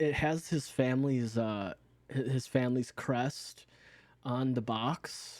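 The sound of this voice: The reading voice heard here is unforced from start to finish.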